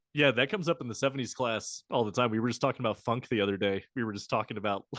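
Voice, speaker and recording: A man with a Maryland accent speaks at a very fast pace, medium in pitch, with ordinary pitch variation. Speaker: podcast host, musicology graduate student. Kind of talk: casual chat.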